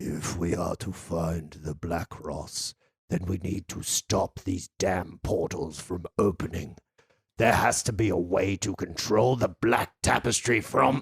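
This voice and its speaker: A man puts on a character voice, very deep and low in pitch, with a rumbling, raspy quality. His menacing tone comes at a fairly slow pace. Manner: unsettling, menacing.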